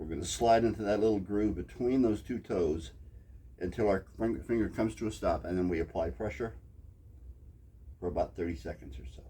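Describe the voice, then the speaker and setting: This man has a very deep, low pitch and a dark, mellow tone with vocal fry. He talks at a fairly quick pace with lively intonation and long, frequent pauses. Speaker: acupressure teacher. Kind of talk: tutorial. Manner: fast.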